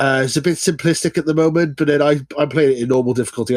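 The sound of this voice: A man's slightly mellow tone, fast pace and fairly even intonation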